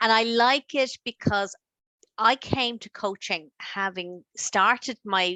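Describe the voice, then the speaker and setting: A woman at a fairly high pitch with an Irish accent and lively intonation. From Ireland. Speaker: life coach. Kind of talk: interview.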